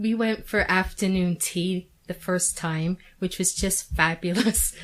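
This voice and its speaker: A woman with a plain, everyday voice speaks at a fairly slow pace and medium pitch, her intonation fairly even. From Canada. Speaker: Coronation Street superfan. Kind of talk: radio interview. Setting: radio studio.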